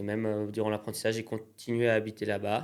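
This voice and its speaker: The voice belongs to a man and is fairly low in pitch. He speaks at a moderate pace. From Pays de Gex, France, near Geneva border. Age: 20s. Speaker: entrepreneur, craftsman. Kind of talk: interview. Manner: hesitant, many fillers.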